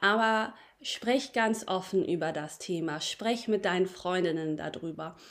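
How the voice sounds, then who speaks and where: A woman's medium-pitched voice, warm and animated in tone, with ordinary pitch variation and a fairly slow pace on a very clean recording with a silent background. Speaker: podcast host. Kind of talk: pep talk. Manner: animated, upbeat and encouraging; warm, addressing listeners directly as friends.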